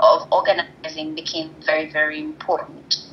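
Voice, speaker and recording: There is noticeable background noise behind a woman. She speaks at a moderate pace with ordinary pitch variation. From Kenya. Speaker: tech entrepreneur, co-founder of a crisis-mapping platform. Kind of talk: interview answer.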